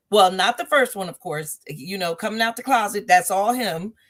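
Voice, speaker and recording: An ordinary speaking voice from a woman at medium pitch, with lively intonation, in a very clean recording with a silent background. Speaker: talk show host and author. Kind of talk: casual conversational talk.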